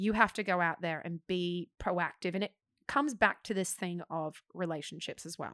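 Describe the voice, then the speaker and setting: Speaking with an Australian accent, a woman uses a fairly low pitch, ordinary pitch variation and a moderate pace. The recording is very clean, with a silent background and a dry, close sound with no echo. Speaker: actor. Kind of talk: casual chat. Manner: animated.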